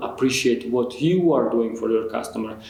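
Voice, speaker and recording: A man speaks with a non-native accent. Room echo is audible. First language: not English. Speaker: customer experience expert. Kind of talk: interview conversation. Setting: in person, Zurich.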